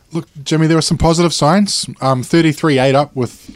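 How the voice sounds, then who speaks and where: This man talks at a fairly quick pace with ordinary pitch variation, and the sound is dry and close with no echo. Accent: New Zealand. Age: 40s. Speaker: sports panelist. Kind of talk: casual chat.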